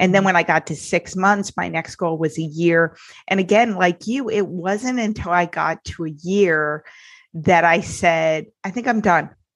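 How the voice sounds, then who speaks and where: A woman's unremarkable speaking voice, fairly low in pitch with ordinary pitch variation, at a fairly slow pace against a quiet background. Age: 40s. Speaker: podcast host and sobriety life coach. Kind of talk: casual interview.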